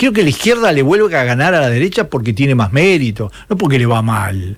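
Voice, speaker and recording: Animated in tone and somewhat breathy, a man with a Uruguayan accent speaks at a moderate pace and fairly high pitch with very wide pitch swings. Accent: Rioplatense Spanish (Uruguayan). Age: 70s. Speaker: political commentator, former communist activist. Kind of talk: interview.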